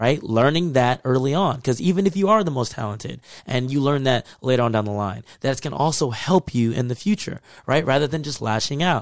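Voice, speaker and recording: A man speaks at a fairly quick pace in an American accent, with medium pitch and lively intonation, in a normal speaking voice. The recording is very clean, with a silent background. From Texas. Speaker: podcast co-host. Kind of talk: casual chat.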